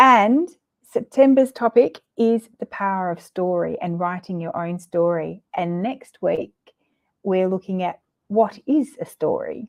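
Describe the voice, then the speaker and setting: Very wide pitch swings at a very slow pace, with a dry, close sound and no echo. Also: woman. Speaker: counsellor hosting monthly Q&A livestream. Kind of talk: guided breathing exercise; casual Q&A chat. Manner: hesitant, with fillers.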